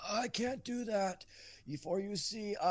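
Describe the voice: Fairly high pitch in a put-on character voice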